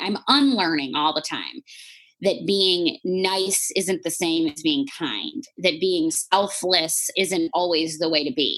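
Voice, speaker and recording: Her pitch fairly low, a woman speaks at a fairly slow pace. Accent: Chicago. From Chicago, US. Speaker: life coach and author. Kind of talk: podcast interview.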